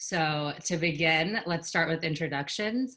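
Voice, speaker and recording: A woman's very deep, low-pitched voice with an American accent. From Georgia, US. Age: 20s. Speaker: discussion host. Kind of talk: moderating a discussion.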